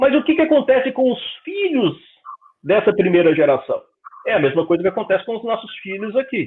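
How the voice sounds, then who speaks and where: A man with a Brazilian accent speaks at a high pitch and a fairly quick pace, with very wide pitch swings and long, frequent pauses. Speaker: spiritist lecturer. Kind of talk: lecture. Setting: public meeting, streamed. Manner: conversational.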